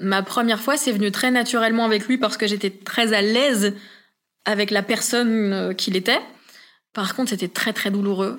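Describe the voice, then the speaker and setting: Recorded very cleanly against a silent background, a woman with an unremarkable speaking voice talks at a medium pitch with fairly even intonation. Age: 20s. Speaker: podcast guest sharing personal story. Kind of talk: testimony. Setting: home living room recording.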